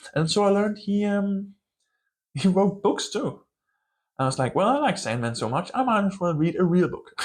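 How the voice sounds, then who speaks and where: Speaking with a strong Danish accent, a man uses a high pitch and lively intonation, broken by long, frequent pauses. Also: moderate pace. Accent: Danish accent, thick by his own account. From Denmark. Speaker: book channel vlogger. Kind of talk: casual vlog monologue. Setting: filming alone to camera. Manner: casual, hesitant with fillers.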